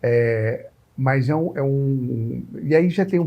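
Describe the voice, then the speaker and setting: The voice is dark, mellow and somewhat breathy, with very wide pitch swings. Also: man. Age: 60s. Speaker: TV interviewer. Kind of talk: interview. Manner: halting.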